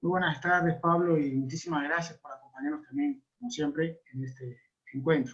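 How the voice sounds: At a moderate pace, a man talks with fairly high pitch and fairly even intonation.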